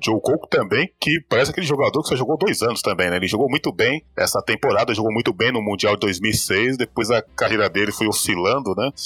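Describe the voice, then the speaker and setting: Very fast and with lively intonation, a man speaks in a dry, close sound with no echo. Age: 40s. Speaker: football podcast co-host. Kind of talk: casual chat.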